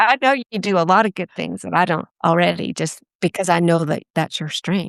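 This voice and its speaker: A woman uses a normal speaking voice with a fairly low pitch and ordinary pitch variation. The sound is dry and close with no echo, against a quiet background. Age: 60s. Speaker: strengths coach. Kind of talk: podcast interview.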